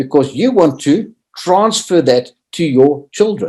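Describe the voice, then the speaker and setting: The man's voice has a dark, mellow tone and very wide pitch swings. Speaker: motivational speaker on leadership. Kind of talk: seminar talk. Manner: animated.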